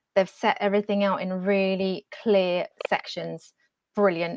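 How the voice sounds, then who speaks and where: Dry and close with no echo, the recording has a quiet background. A woman speaks at medium pitch in a monotone, flat intonation. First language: not English. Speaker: careers advisor. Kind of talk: webinar talk.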